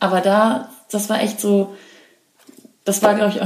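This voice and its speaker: A woman talks at a moderate pace, her pitch medium. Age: 20s. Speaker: podcast host, actor. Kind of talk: casual chat.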